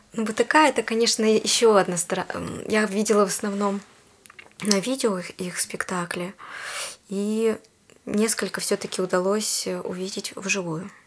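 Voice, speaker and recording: Long, frequent pauses break up speech delivered at a moderate pace. The intonation stays fairly even against noticeable background noise. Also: woman, medium pitch for a woman. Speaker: puppet theatre actress. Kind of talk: interview. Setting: studio. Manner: hesitant, many fillers.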